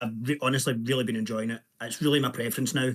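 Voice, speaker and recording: Medium pitch from a man, with ordinary rise and fall. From Scotland. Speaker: indie game developer. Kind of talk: self-introduction in group video call. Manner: halting, many fillers.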